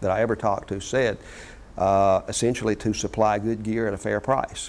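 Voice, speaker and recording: A man speaks with a Mississippi accent at a fairly low pitch. His pace is very fast and his intonation fairly even. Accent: Mississippi Southern US. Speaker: company founder. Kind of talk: interview. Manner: hesitant, many fillers.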